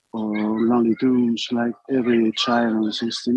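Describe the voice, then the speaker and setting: This is a man's voice at a medium pitch. He has a Spanish accent. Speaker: filmmaker and animator. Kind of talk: interview. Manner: halting.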